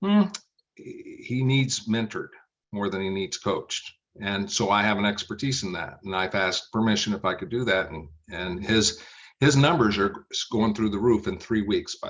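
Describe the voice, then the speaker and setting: Using a plain, everyday voice, a man talks at a moderate pace with ordinary pitch variation. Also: fairly low pitch for a man. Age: 60s. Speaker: business coach. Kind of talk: podcast interview.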